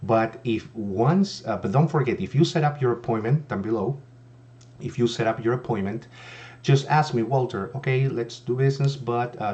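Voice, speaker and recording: Speaking at a moderate pace with a non-native accent, a man has a dark, mellow tone that is somewhat breathy. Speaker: insurance agent. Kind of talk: sales pitch. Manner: hesitant, many fillers.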